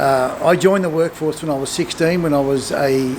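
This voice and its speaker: Speaking with an Australian accent, a man with a fairly high pitch talks at a moderate pace and ordinary pitch variation over noticeable background noise. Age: 50s. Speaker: retiring business owner and content creator. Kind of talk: casual interview chat; spoken introduction. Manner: hesitant, many fillers.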